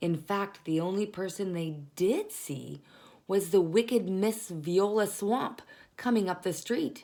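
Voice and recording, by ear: The pitch shifts in an ordinary way. The text is read aloud in a natural voice.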